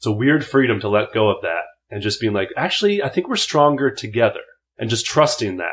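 A man speaks at a fairly quick pace with a medium pitch and an American accent, his voice somewhat breathy. His pitch swings very widely, and the recording is very clean with a silent background. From Minnesota, US Midwest. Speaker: character actor and improviser. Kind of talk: casual interview chat.

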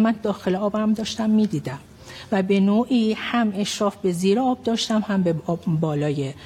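A woman talks at a moderate pace with lively intonation and very even loudness. Hers is an unremarkable speaking voice. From Iran, Tehran (Yazdi family roots). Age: 50s. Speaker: physician. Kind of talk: testimony.

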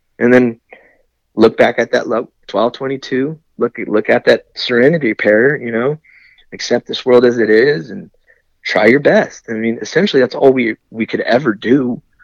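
A man with a normal speaking voice talks at a moderate pace and medium pitch, with ordinary pitch variation, in a dry, close recording with no echo. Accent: American. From California (San Diego and Lemoore). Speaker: Navy corpsman veteran. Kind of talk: casual interview.

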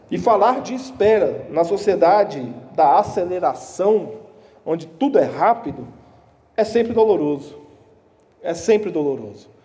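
There is audible room echo as a man speaks at a moderate pace with lively intonation. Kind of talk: sermon.

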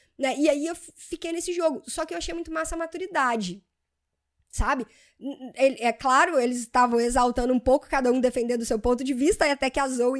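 In a very clean recording with a silent background, a woman with a Brazilian accent speaks very fast in a high pitch with ordinary pitch variation. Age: 30s. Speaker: podcast host. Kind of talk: solo podcast monologue. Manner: casual, conversational.

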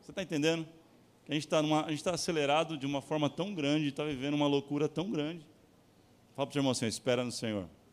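A man at a very fast pace with a fairly high pitch, ordinary pitch variation, and long, frequent pauses. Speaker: pastor. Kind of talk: sermon. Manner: animated.

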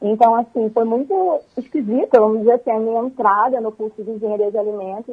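The speaker is a woman with a fairly high pitch. Her words come fairly quickly. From Brazil, Rio de Janeiro. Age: 20s. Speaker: food engineering student. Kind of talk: radio interview. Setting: phone call. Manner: animated.

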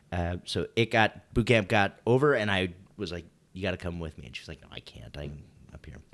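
Lively in intonation and with a slight Wisconsin accent, a man with a very deep, low pitch and vocal fry talks at a fairly quick pace with big swings in loudness. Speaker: podcast co-host, Navy veteran. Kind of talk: casual chat.

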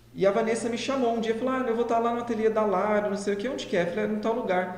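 With noticeable background noise and audible room echo, a man speaks at a high pitch with fairly even intonation. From interior of São Paulo state, Brazil (José Bonifácio). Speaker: pastry business partner, educator. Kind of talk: casual chat. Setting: live stream.

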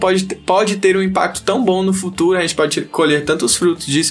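Over noticeable background noise, a man speaks at a very fast pace in a high pitch with ordinary pitch variation. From Northeast Brazil, Teresina, Piauí. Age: 20s. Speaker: kitesurfer and surfer. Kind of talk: casual chat.

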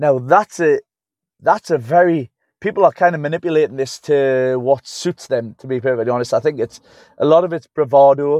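In a Geordie accent, a man talks animatedly at a fairly quick pace, his fairly high voice showing ordinary pitch variation in a dry, close sound with no echo. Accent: Geordie (Newcastle English). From Newcastle upon Tyne, England. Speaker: strength and conditioning coach. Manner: blunt, animated, rambling, swears.

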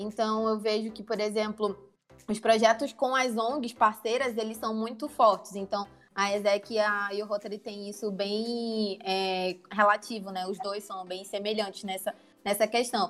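With a northern Brazilian accent, a woman speaks at a fairly slow pace, her pitch fairly high and her intonation fairly even. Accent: northern Brazilian (Manaus). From Manaus, Amazonas, northern Brazil. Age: 20s. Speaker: production engineer and entrepreneur, club member. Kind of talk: casual podcast interview.

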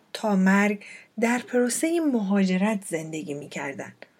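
This woman's voice is somewhat breathy. Her pitch swings very widely. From Iran, Fars province. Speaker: podcast host. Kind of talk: personal storytelling monologue.

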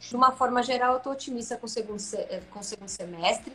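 A woman's voice with ordinary pitch variation. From Santa Catarina, Brazil (rural interior). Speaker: business executive. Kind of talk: interview on a live stream. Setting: online live stream.

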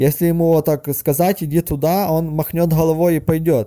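A man with a fairly high pitch and a dark, mellow tone speaks at a moderate pace in a very clean recording with a silent background. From western Ukraine. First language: Ukrainian (speaking Russian). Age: 30s. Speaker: caller. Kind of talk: personal story monologue. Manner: halting.

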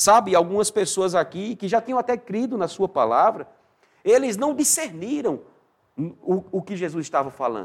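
An animated tone with very wide pitch swings. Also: man, high pitch for a man, moderate pace. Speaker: pastor. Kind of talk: sermon.

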